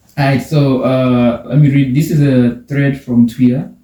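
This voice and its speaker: Somewhat breathy, a man speaks with a non-native accent at a fairly slow pace. His tone is dark and mellow. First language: not English. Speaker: podcast host. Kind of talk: casual chat; reading aloud. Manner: halting.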